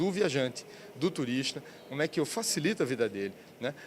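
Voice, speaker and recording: The man's pitch is fairly high for a man, with very wide pitch swings. He talks at a fairly quick pace. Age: 60s. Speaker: business agency president. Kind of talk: interview. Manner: halting, many fillers.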